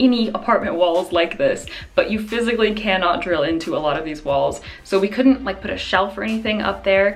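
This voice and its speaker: A woman at a fairly quick pace with ordinary pitch variation, faint music in the background. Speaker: vlogger. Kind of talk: casual vlog chat. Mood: cheerful, upbeat. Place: home room. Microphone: phone near.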